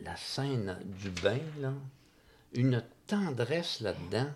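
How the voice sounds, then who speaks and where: Speaking in a Quebec accent, a man holds a medium pitch. His pitch swings very widely. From Quebec, Magog. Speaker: film enthusiast. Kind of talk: casual chat. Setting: home.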